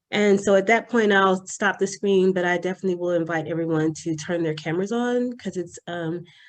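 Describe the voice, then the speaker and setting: Soft-spoken and medium in pitch, a woman talks at a moderate pace with ordinary pitch variation. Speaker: presenter, adjunct psychology professor. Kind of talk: presentation.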